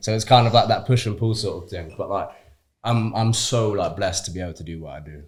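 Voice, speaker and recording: The voice is somewhat breathy and very fast, with ordinary pitch variation, on a very clean recording with a silent background. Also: man, fairly low pitch for a man. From Shrewsbury, West Midlands, England. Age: young. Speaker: actor. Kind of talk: interview answer. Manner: casual, chatty.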